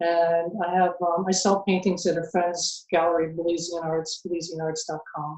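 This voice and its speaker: At a moderate pace, a woman speaks with an American accent. Her intonation is monotone and flat. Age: 60s. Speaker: house sitter and artist. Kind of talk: interview. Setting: video call. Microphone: weak video connection.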